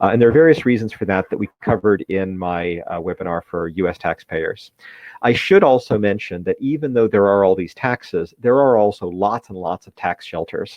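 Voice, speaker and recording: The speaker has an American accent and talks at a fairly quick pace with ordinary pitch variation. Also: man, fairly low pitch for a man. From United States. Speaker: wealth manager. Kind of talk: webinar presentation. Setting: live webinar. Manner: fast.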